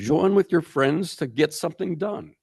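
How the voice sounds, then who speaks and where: A man speaks at a moderate pace with vocal fry and lively intonation, in a dry, close sound with no echo. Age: 80s+. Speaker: pride founder. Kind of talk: panel discussion.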